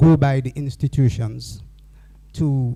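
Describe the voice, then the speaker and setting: A man's dark, mellow, somewhat breathy voice sits at a medium pitch with ordinary pitch variation. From Dominica. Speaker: forum speaker. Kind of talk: panel remarks.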